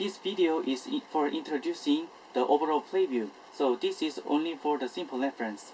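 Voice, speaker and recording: Keeping a moderate pace, this voice carries a non-native accent. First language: not English. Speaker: board game rules presenter. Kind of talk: tutorial. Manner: halting, with self-corrections.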